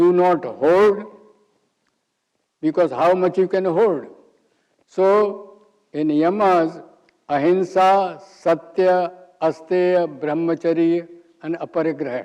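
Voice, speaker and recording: A man's high-pitched, dark, mellow voice with an Indian accent, very slow pace, long, frequent pauses and fairly even intonation. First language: Hindi. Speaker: yoga teacher. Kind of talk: lecture.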